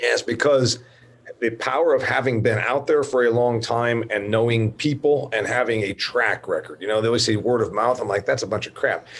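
A man speaks at medium pitch and a fairly quick pace. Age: 50s. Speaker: podcast host. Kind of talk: interview. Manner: animated.

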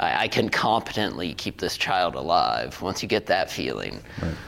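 Clearly audible noise fills the background. A man talks at moderate speed over it. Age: 40s. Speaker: podcast host. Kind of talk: casual chat. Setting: studio.

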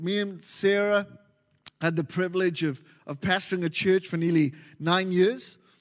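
Speaking in a Welsh accent, a man has a high voice and an animated tone. His pace is moderate. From Wales. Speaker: pastor. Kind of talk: sermon. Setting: church.

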